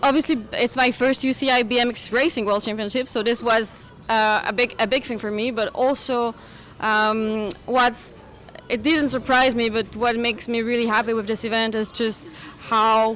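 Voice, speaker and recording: Speaking with a French accent, a woman's voice sits at a fairly high pitch. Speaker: sports federation media relations manager. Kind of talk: radio interview. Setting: live broadcast at outdoor race event. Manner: halting, many fillers.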